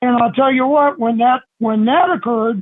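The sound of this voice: Speaking at a fairly slow pace, a man with an extremely high voice shows ordinary pitch variation.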